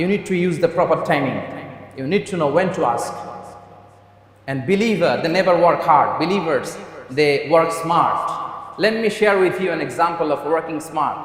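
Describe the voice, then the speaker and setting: A man with a high-pitched voice talks at a moderate pace, his pitch moving in an ordinary way over noticeable background noise. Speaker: Islamic preacher. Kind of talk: Friday sermon (khutbah) in English, Islamic lecture. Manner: earnest, preaching, direct address to audience.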